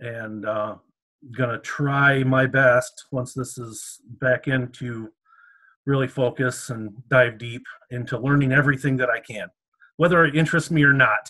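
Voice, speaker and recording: A man at medium pitch with a bright, sharp tone, fairly even intonation and a fairly slow pace. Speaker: medieval reenactment society member, drummer. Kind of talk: interview. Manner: halting.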